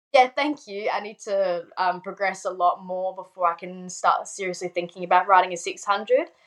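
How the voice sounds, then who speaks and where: A woman with a medium pitch, in an Australian accent. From South Australia, Adelaide. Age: 20s. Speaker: motorbike racer. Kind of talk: casual chat. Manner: casual, laughs often.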